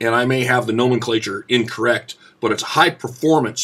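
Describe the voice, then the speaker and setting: A man with a Southern US accent speaks at a moderate pace in a medium pitch, with ordinary pitch variation. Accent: rural US Southern-sounding. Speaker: shotgun hunter and YouTuber. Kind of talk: informal explanatory tutorial. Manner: casual with many filler sounds.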